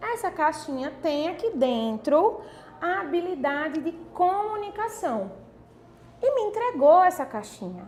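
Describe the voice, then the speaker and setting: Over noticeable background noise, a woman speaks fairly slowly at an extremely high pitch with very wide pitch swings. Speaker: online course teacher. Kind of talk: online class.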